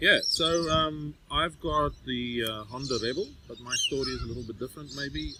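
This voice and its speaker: A man with a South African accent, ordinary pitch variation and big swings in loudness, over noticeable background noise. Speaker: motorbiking podcast host. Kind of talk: casual chat. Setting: outdoors.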